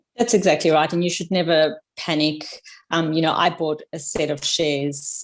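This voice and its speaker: In a very clean recording with a silent background, a woman speaks fairly quickly with fairly even intonation and a very deep, low pitch. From South Africa. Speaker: podcast guest, amateur investor. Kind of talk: casual chat.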